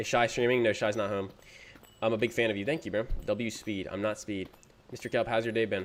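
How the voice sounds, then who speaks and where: Intonation stays fairly even as a man speaks. His pace is fairly quick and his pitch medium. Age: 20s. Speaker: gaming streamer. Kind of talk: casual live stream chat while gaming. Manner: casual, filler-heavy.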